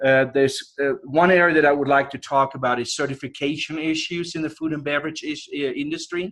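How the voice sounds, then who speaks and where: Fairly even intonation and hardly any pauses mark this fairly quick speech in a European accent. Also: man, fairly high pitch for a man. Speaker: professor. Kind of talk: guest lecture. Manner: casual, conversational.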